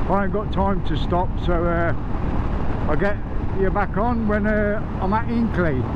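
Dry sound with no echo, plus loud background noise. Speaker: motorbike rider vlogger. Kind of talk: casual vlog chat. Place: motorbike. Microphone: helmet.

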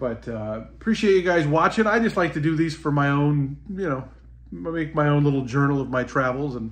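A man keeps a moderate pace while his intonation stays lively. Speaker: travel vlogger. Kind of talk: casual vlog chat. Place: home room. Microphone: phone near.

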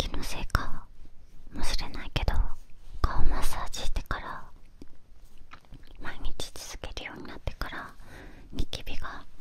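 Whispering and soft-spoken, a woman speaks at a fairly slow pace with long, frequent pauses in a dry sound with no echo. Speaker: ASMR-style creator. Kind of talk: soft casual talk about skincare. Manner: soft close-mic whisper. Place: home room. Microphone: studio mic.

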